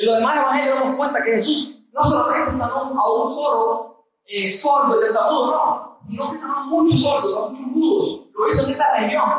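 With hardly any pauses, a man talks at an extremely high pitch. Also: ordinary pitch variation, moderate pace. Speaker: preacher. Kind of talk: sermon. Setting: church. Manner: earnest, emphatic preaching; repetitive, pressing.

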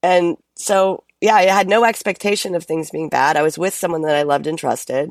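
A woman with a plain, everyday voice and an American accent talks at a fairly quick pace with hardly any pauses, her pitch fairly low and ordinarily varied, on a very clean recording with a silent background. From United States and France. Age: 50s. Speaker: performer and musical creator. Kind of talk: casual chat.

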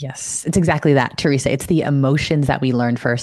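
At a very fast pace, a woman speaks with a very deep, low pitch on a very clean recording with a silent background. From US, Filipino immigrant family. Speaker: financial educator and content creator. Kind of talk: casual interview chat. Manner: animated.

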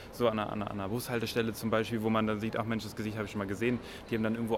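Flat and monotone in intonation, a man speaks at a fairly low pitch. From northern Germany. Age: 20s. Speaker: podcaster. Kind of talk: casual chat. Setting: subway station and train.

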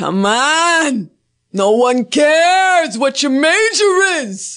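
In a put-on character voice, the speaker goes at a very slow pace with a high pitch and very wide pitch swings. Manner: exaggerated, tough-guy.

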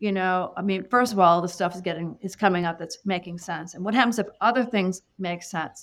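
The speaker sounds enthusiastic, talking at a fairly quick pace with ordinary pitch variation in a very clean recording with a silent background. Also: woman. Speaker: psychic medium. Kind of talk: casual interview chat.

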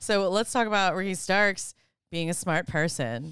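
A woman has a normal speaking voice, medium in pitch, at a fairly slow pace. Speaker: co-host. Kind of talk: casual banter. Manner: laughing, interjecting.

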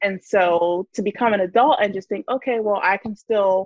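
Ordinary pitch variation marks the voice of a woman speaking in an American accent. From New Jersey. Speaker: personal finance content creator. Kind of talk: casual chat.

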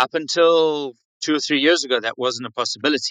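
A man with a South African accent, a bright, sharp tone, ordinary pitch variation and a fairly quick pace. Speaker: winery staff. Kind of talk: casual chat. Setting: online audio chat room.

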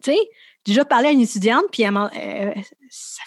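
A woman speaks at a fairly high pitch. Her pitch varies an ordinary amount. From Quebec, Montreal area (Laval). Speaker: campus chaplain and missionary. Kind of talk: interview. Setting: studio.

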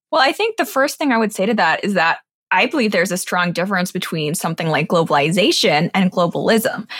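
Speaking very fast in an American accent, a woman uses lively intonation at a medium pitch. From grew up overseas in Asia and London, American schools. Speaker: political commentator and online show host. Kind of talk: interview.

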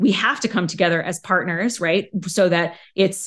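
A woman talks at a moderate pace with a medium pitch and ordinary pitch variation. It is an ordinary speaking voice. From Arizona. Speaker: author and parenting guest. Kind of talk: podcast interview.

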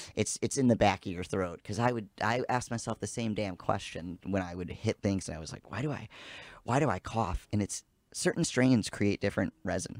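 A man with an unremarkable speaking voice and fairly low pitch talks at a moderate pace, his pitch varying in an ordinary way while his loudness swings widely. The recording is very clean with a silent background and a dry, close sound with no echo. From US Midwest, south side of Chicago. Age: 30s. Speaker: cannabis expert. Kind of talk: casual chat.

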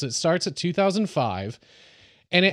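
Lively intonation runs through a plain, everyday voice. The background is quiet. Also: man. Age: 30s. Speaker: podcast host. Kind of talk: casual chat.

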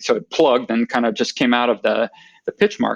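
The speaker has a Pacific Northwest accent and lively intonation. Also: man. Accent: American (Pacific Northwest). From US, Oregon. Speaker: golf traveller. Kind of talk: casual interview. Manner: halting with fillers.

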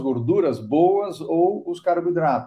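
This is an ordinary speaking voice. A man talks at a fairly high pitch, with ordinary pitch variation. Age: 50s. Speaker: startup entrepreneur in cacao nutrition. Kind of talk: podcast interview.

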